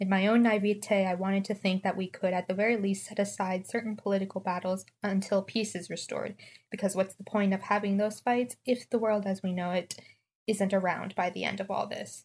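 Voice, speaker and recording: A woman talks at a fairly quick pace in a flat, monotone delivery with a somewhat breathy edge. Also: medium pitch for a woman. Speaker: listener sending audio question. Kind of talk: prepared monologue. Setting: recorded audio message.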